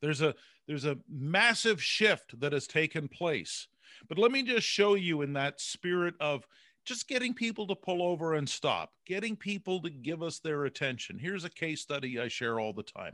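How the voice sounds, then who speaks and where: A man speaks in a high pitch with a bright, sharp tone and very wide pitch swings. The background is quiet, and the sound is dry and close with no echo. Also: moderate pace. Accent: Canadian. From Canada. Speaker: speaker and author, former broadcaster. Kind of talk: interview. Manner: animated.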